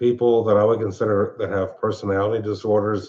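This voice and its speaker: A man with a Philadelphia accent. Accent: Philadelphia-area American. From Pennsylvania, Montgomery County. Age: 60s. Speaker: live-stream show host. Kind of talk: casual chat. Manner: halting.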